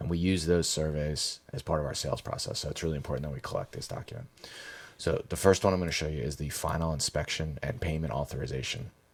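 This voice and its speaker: In a very deep, low voice with vocal fry, a man talks at a very fast pace with ordinary pitch variation. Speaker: painting company trainer. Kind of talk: training tutorial. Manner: casual, with filler words.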